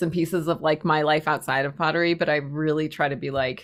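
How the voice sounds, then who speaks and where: In a very clean recording with a silent background, a woman talks at a very fast pace with a slight New England accent. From Massachusetts, US (Spencer, near Worcester). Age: 40s. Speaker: pottery teacher and maker. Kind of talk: casual interview chat.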